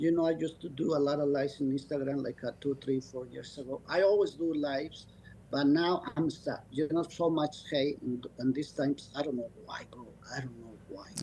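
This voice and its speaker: A man with a non-native accent speaks at a fairly high pitch and a moderate pace. His intonation is fairly even, but his loudness swings a lot. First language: not English. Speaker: dog breeder. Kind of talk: podcast interview. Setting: video call. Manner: halting.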